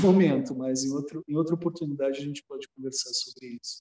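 A man talks at a fairly quick pace with fairly even intonation, recorded dry and close with no echo. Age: 40s. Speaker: spiritual movement coordinator. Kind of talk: casual chat. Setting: video call.

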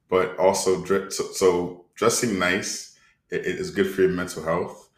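A man's loudness swings widely as he speaks at a fairly slow pace, with audible room echo. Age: 30s. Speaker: podcast co-host. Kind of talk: casual chat.

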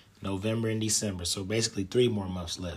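The man talks at a very fast pace in a fairly low pitch. His voice is somewhat breathy, with fairly even intonation. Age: 30s. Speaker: podcast host. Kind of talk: solo podcast monologue. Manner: casual, with frequent fillers.

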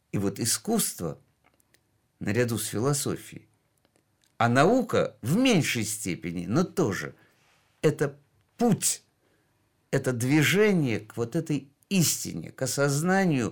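A man with a fairly high pitch swings his pitch very widely, recorded very cleanly against a silent background. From Georgia. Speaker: heart surgeon and art collector. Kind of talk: radio interview.

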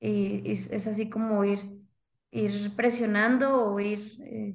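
Somewhat breathy, a woman speaks at a medium pitch in a monotone, flat intonation. Audible room echo can be heard. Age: 20s. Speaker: author. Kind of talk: interview.

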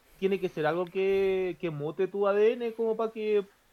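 Fairly slow speech in a Chilean accent. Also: man. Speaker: podcast co-host. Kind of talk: casual chat. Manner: halting.

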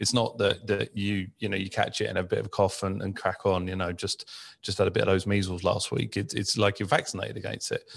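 A man with a British accent at a very fast pace with hardly any pauses, on a very clean recording with a silent background. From UK. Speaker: podcast host. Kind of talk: casual chat. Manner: halting, many fillers and repeats.

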